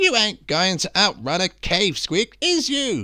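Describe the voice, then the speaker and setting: A man's put-on character voice, raised and projected, high in pitch and fairly slow. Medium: read story. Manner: gruff, bullying.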